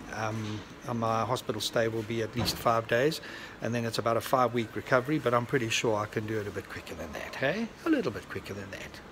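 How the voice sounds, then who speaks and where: Very fast pace and fairly even intonation over noticeable background noise. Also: man, medium pitch for a man. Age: 60s. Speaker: vlogger. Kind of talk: casual vlog narration.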